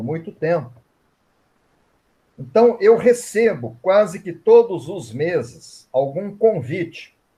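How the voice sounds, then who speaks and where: A man at a very slow pace. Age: 60s. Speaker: Reiki master and author. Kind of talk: online event interview.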